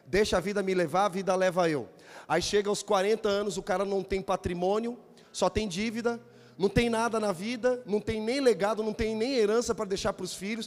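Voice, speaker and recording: A man with a high pitch speaks in an animated tone at a moderate pace, on a very clean recording with a silent background. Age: 40s. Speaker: pastor. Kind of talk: sermon.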